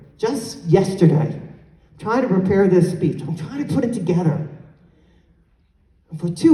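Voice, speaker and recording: In a room with audible echo, a woman of medium pitch talks at a moderate pace with an animated tone and lively intonation. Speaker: conference speaker. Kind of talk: conference keynote address. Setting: stage with audience.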